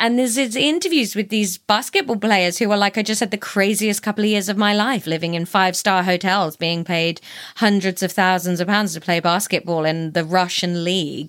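In an ordinary speaking voice, a woman talks at medium pitch and a fairly quick pace with ordinary pitch variation and hardly any pauses. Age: 30s. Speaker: podcast recommender. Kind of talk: casual chat.

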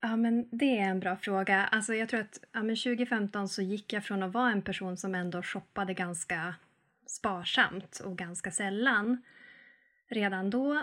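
In a very clean recording with a silent background, a woman with a normal speaking voice talks fairly slowly at a medium pitch and ordinary pitch variation. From northern Sweden, Arvidsjaur. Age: 30s. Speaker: sustainability and frugal-living influencer. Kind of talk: podcast interview.

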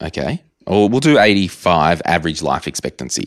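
A man with an Australian accent, fairly low pitch, vocal fry, very wide pitch swings, and a fairly slow pace. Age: 30s. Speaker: personal finance podcaster and author. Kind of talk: casual interview chat.

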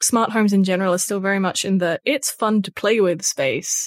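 Speaking at a moderate pace with an Australian accent, a woman's medium-pitched voice comes through dry and close, with no echo. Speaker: tech journalist. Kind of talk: casual chat. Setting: remote recording.

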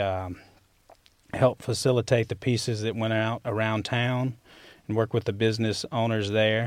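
In a Southern accent, a man speaks at a medium pitch with fairly even intonation. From Mississippi (Winona). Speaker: sculptor. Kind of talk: interview. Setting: studio.

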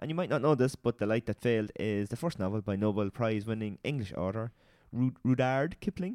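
The voice, in an Irish accent, moves at a fairly quick pace with ordinary pitch variation and a dry, close sound free of echo. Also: man. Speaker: podcast co-host, sheep farmer. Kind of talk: casual chat.

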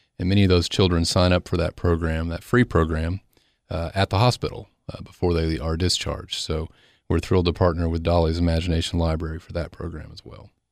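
In a very clean recording with a silent background, a man with an Upper Cumberland accent and a very deep, low pitch speaks in a flat monotone, his loudness swinging widely. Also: fairly quick pace. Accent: Southern US, Upper Cumberland. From Cookeville, Tennessee. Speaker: foundation executive director. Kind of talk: interview, informational.

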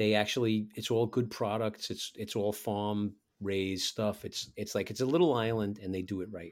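A man with a New York accent, fairly low pitch and fairly even intonation at a moderate pace, in a very clean recording with a silent background. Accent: New York City (borough accent). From New York City. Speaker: touring musician. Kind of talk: casual interview chat. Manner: casual, chatty.

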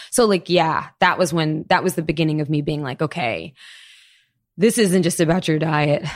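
A woman speaks in an ordinary speaking voice at a moderate pace, fairly low in pitch with ordinary pitch variation. The recording is very clean with a silent background. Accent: American. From Florida, US. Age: 30s. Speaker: chef and storyteller. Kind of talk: casual interview.

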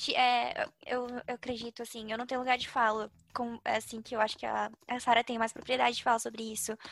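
The speaker moves at a fairly quick pace. The intonation stays monotone and flat. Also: woman, fairly high pitch for a woman. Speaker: podcast co-host. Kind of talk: casual chat.

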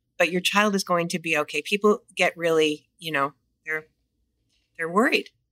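A woman with a Californian accent speaks at a moderate pace and fairly low pitch in a bright, sharp tone, with fairly even intonation, long, frequent pauses, and a dry, close sound with no echo. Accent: Californian American. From Los Angeles, US. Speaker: children's gym franchise owner. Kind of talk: casual interview.

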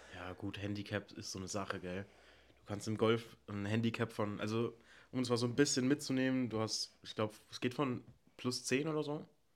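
A man with an ordinary speaking voice talks at a moderate pace, at a medium pitch with ordinary pitch variation. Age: 20s. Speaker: podcast co-host. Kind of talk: casual chat.

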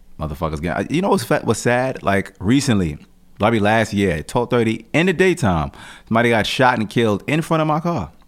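This man talks at a fairly quick pace in a medium pitch, with vocal fry and very wide pitch swings. The recording is very clean, the background silent. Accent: American. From Jamaica, Queens, New York, Jamaican family. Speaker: rapper. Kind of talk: casual interview.

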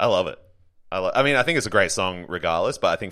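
Recorded very cleanly with a silent background, a man with an Australian accent talks at a fairly quick pace. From Brisbane, Queensland, Australia. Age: 30s. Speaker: comedian. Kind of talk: casual chat.

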